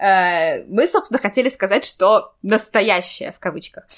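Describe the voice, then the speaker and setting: A woman with a plain, everyday voice, a fairly high pitch, lively intonation and a moderate pace. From St Petersburg, Russia. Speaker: podcast host and editor. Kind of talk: casual chat.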